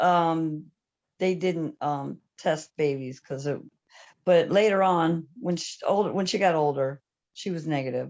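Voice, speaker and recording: Against a quiet background, a woman with an unremarkable speaking voice talks at a fairly slow pace, her pitch fairly low with ordinary variation. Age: 60s. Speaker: panelist living with HIV. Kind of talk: testimony.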